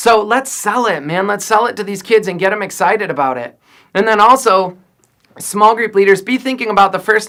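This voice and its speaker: A man shouts in a raised, projected voice with a bright, sharp tone, ordinary pitch variation and a fairly quick pace. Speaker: youth pastor. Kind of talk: video message to volunteer leaders. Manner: loud, yelling; animated.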